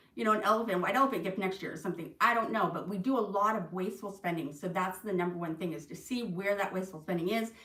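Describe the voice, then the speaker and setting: A woman rushes along at a very fast pace with hardly any pauses. Noticeable background noise runs underneath. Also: medium pitch for a woman, ordinary pitch variation. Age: 50s. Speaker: tax preparer and insurance agent giving finance tips. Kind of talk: livestream talk. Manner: casual, chatty.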